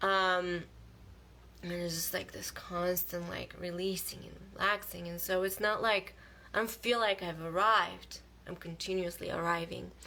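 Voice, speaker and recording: At a moderate pace, a woman with a fairly low pitch and a bright, sharp tone speaks in a monotone, flat intonation with big swings in loudness. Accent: non-native. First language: not English. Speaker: spiritual vlogger. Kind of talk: casual live monologue. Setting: livestream video. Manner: halting.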